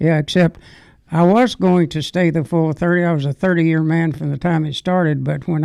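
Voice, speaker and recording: A man with a Southern US accent has a fairly high pitch, a dark, mellow tone and fairly even intonation at a moderate pace. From Arkansas. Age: 90s. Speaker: war veteran. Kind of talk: interview. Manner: halting.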